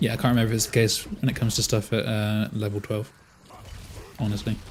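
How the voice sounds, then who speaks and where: A man talks at a very fast pace with a fairly low pitch. His voice is somewhat breathy and his intonation monotone and flat. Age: 30s. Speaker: video game streamer. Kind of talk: live game stream commentary. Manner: casual, conversational with fillers.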